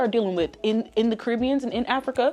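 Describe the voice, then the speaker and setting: Very fast and animated, a woman talks at a fairly high pitch. Noticeable background noise is present. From US, Haitian-American family. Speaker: lifestyle vlogger. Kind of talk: casual chat.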